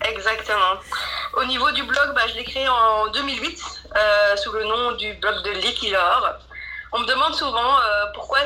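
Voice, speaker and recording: A woman with a high pitch and ordinary pitch variation talks over noticeable background noise. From Belgium, Mons area. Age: 30s. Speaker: blogger and digital marketer. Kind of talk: interview. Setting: remote call. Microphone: poor sound quality.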